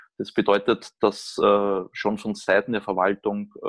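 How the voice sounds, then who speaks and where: This man talks at a very slow pace. The sound is dry and close, with no echo. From Austria. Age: 30s. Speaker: orthopedic surgeon. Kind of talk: casual interview.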